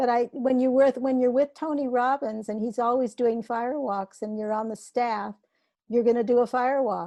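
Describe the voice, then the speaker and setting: This woman has a high pitch and a dark, mellow tone, speaking with fairly even intonation against a quiet background. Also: moderate pace. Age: 70s. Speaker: author and hypnotherapist. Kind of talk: podcast interview.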